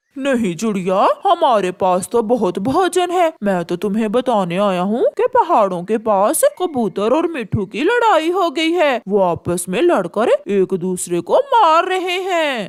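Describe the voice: A cartoonish character voice at fairly high pitch swings very widely. It moves at a fairly slow pace with hardly any pauses.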